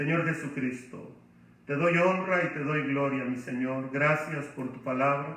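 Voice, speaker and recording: A man's fairly high voice moves fairly slowly with ordinary pitch variation, while audible room echo and noticeable background noise fill the recording. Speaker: pastor. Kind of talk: bible study lecture. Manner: loud, emotional.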